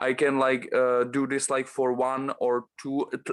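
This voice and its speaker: In a very clean recording with a silent background, a man with a Czech accent speaks at a fairly slow pace in a fairly high pitch. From Czech Republic. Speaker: bodybuilder. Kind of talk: casual interview. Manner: halting, many fillers.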